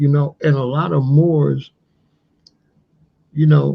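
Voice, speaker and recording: Somewhat breathy and dark, mellow in tone, a man with a fairly high pitch speaks at a fairly slow pace. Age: 60s. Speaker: history channel host. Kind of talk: livestream commentary. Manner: animated.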